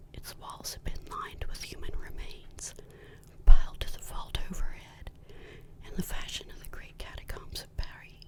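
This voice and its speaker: At a moderate pace, a whispered voice comes through noticeable background noise. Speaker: ASMR creator with a goth persona. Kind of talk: whispered ASMR story reading.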